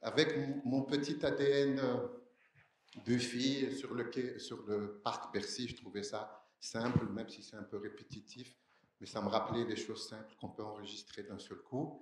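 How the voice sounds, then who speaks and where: A fairly slow, medium-pitched male voice with ordinary pitch variation and audible room echo. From Algeria, Algiers. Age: 60s. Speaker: audience member asking a question. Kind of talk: audience question at conference.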